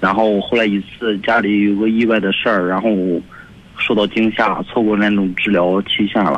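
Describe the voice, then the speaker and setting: Monotone and flat, a man speaks at a moderate pace in a fairly low pitch with very even loudness. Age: 20s. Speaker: radio caller. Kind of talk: phone call-in. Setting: phone call.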